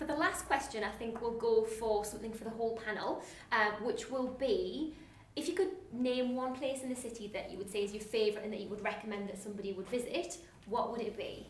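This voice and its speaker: Talking at a very fast pace with a Geordie accent, a woman speaks at a fairly high pitch amid audible room echo. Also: ordinary pitch variation. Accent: mild Geordie. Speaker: webinar host. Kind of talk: live Q&A moderation. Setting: online live webinar.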